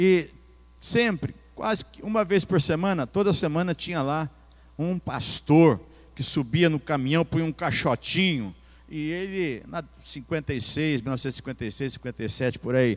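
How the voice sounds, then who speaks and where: An ordinary speaking voice from a man, fairly high in pitch, with lively intonation at a moderate pace, on a very clean recording with a silent background. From Bauru, São Paulo state, Brazil. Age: 60s. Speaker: pastor. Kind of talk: sermon.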